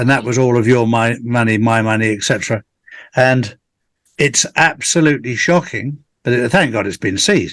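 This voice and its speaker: A man's medium-pitched voice at a moderate pace. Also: ordinary pitch variation. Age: 60s. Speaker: conspiracy theorist guest on real estate call. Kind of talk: casual chat. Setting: live video call. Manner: halting, many fillers and restarts.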